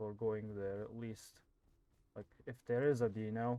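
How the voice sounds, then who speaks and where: This man's voice is soft-spoken, medium in pitch, and dark and mellow in tone. He keeps a moderate pace with monotone, flat intonation. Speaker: gaming youtuber. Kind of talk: gameplay commentary.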